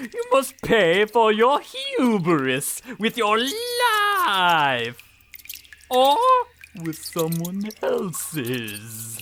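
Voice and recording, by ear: A put-on character voice moves very slowly, its pitch swinging very widely. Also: fairly bright tone.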